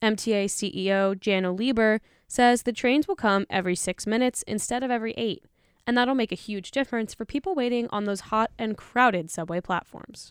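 In an ordinary speaking voice, a woman talks at a fairly quick pace with a fairly high pitch and ordinary pitch variation, the sound dry and close with no echo on a very clean recording with a silent background. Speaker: radio news host. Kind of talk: news reading. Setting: studio.

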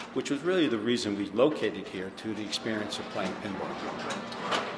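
With an American accent, a man at medium pitch talks at a moderate pace, with audible room echo and noticeable background noise. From New Jersey. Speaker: pinball showroom owner. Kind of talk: interview.

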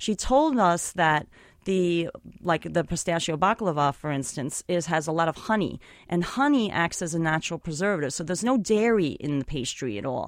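A plain, everyday voice from a woman, fairly low-pitched with lively intonation at a moderate pace, on a very clean recording with a silent background. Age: 40s. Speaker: photographer and author. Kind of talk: interview. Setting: studio.

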